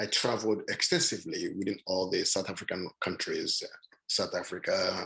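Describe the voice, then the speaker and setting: This man has a Nigerian accent. He talks at a fairly quick pace. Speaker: panelist. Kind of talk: panel talk. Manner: halting.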